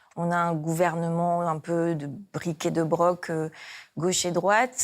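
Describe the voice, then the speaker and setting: A woman's fairly low voice at a very slow pace with fairly even intonation, in a very clean recording with a silent background. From Réunion. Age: 40s. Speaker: politician, parliamentary candidate. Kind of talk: campaign video interview. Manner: hesitant, many filler sounds.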